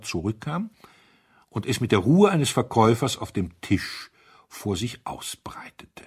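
A man speaks at a moderate pace with a husky, rough edge and a slightly mellow tone. The recording is very clean, with a silent background.

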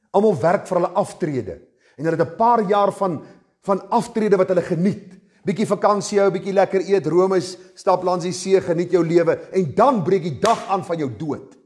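A high-pitched man's voice with ordinary pitch variation, over a quiet background. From South Africa. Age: 50s. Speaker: pastor. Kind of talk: sermon. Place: church.

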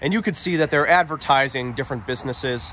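A man with ordinary pitch variation, in dry sound with no echo and light background noise. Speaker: explorer vlogger. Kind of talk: casual vlog commentary. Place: open country. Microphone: phone near.

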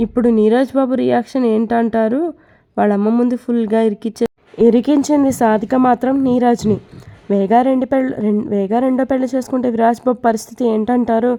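A woman's fairly high voice, dark and mellow in tone, with monotone, flat intonation and very even loudness. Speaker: storyteller narrating serialized stories. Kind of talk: story narration; casual talk to viewers. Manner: tired, low-energy.

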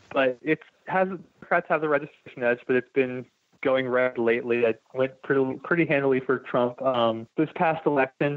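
A man with a plain, everyday voice and an American accent, medium pitch, moderate pace, very even loudness and fairly even intonation. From Delaware, US. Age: 30s. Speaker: political candidate, construction worker. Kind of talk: interview.

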